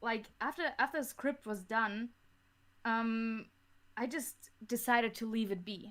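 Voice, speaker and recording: A woman speaks with a German accent at a fairly high pitch. Her pace is fairly slow and her intonation fairly even. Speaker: audio drama creator. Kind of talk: podcast interview. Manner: halting, frequent repetitions.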